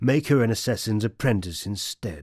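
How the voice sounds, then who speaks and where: In a very clean recording with a silent background, a man speaks with a British RP accent. His pitch is fairly low and his pace moderate. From England. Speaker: voice actor. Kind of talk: audiobook narration.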